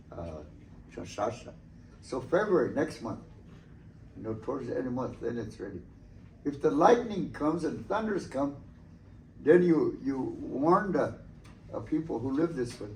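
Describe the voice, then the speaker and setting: With vocal fry and very wide pitch swings, a man talks at a medium pitch and moderate pace, leaving long, frequent pauses amid audible room echo. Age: 70s. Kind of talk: talk to students about traditions. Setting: school presentation. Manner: halting with many fillers.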